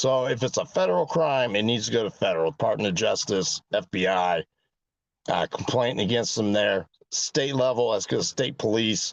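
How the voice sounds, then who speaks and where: At a moderate pace, an unremarkable speaking voice rises and falls with lively intonation. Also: man, medium pitch for a man. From US West Coast, San Francisco Bay Area. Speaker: mayoral candidate. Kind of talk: political Q&A.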